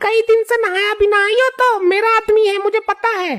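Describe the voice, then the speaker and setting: A woman does a cartoonish character voice at an extremely high pitch, flat and monotone, with a dry, close sound and no echo. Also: fairly quick pace. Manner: sharp, scornful.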